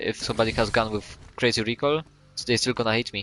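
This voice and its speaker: A man speaks with a non-native accent at a medium pitch. His pace is fairly quick. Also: dry, close sound with no echo. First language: not English. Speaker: game coach. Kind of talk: tutorial. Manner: halting, many fillers and restarts.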